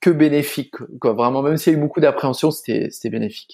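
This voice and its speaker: Ordinary pitch variation runs through a man's speech, which has a dark, mellow tone. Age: 20s. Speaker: pastry chef. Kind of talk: interview conversation. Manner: hesitant, many fillers.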